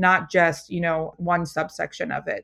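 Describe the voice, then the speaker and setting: A woman speaks in an ordinary speaking voice at a medium pitch. Her pace is moderate, against a quiet background. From Philadelphia, US. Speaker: food company founder. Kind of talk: interview.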